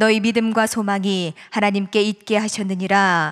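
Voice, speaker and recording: A woman speaks with monotone, flat intonation. The background is quiet. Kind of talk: reading aloud. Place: church. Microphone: podium.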